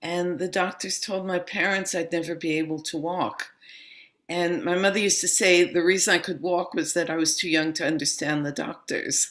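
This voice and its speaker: A woman with a New York accent speaks in a fairly low voice. Her intonation stays fairly even. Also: moderate pace. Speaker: yoga and meditation teacher. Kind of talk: interview.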